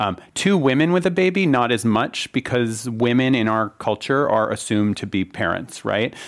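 In a very clean recording with a silent background, a man with an ordinary speaking voice talks at a moderate pace and medium pitch. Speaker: marketing executive. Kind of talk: panel discussion. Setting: stage with audience.

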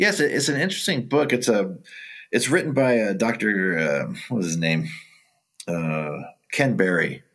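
The speaker, in an American accent, leaves long, frequent pauses and makes very wide pitch swings. There is audible room echo. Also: man, medium pitch for a man, moderate pace. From Southern California (Orange County). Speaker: town wildlife manager, former game warden. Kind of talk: interview. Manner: halting.

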